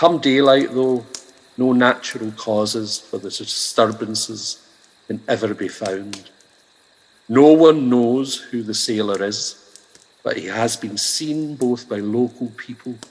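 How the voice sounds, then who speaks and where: Noticeable background noise runs under a man with a medium pitch and ordinary pitch variation. He speaks fairly slowly, with big swings in loudness. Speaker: stand-up comedian, voice actor, poet. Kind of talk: ghost story telling.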